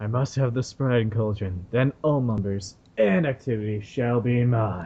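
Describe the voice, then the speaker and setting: In a put-on character voice, the speaker goes at a fairly slow pace with hardly any pauses. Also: man, medium pitch for a man. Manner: menacing, scheming.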